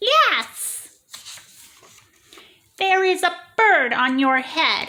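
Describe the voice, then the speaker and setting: This put-on character voice sits at an extremely high pitch with a calm tone. It moves at a very slow pace. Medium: read story. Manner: bright, calm.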